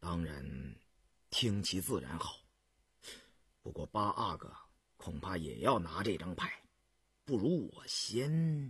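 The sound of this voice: Slowly and with long, frequent pauses, a man performs a put-on character voice at a low pitch, with big pitch swings, a husky, rough edge and a fairly bright tone.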